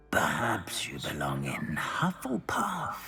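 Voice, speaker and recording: A put-on character voice growls at a very deep, low pitch and a fairly slow pace over light background noise. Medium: video game. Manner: slow, musing, many pensive hums.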